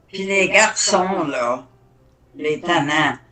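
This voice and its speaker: A woman with a fairly low pitch speaks very slowly. Her pitch varies an ordinary amount. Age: 80s+. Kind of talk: interview answer.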